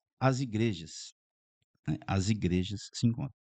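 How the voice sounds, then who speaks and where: The voice has a dark, mellow tone and a fairly slow pace. The sound is dry and close, with no echo. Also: man. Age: 60s. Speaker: pastor. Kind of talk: podcast interview.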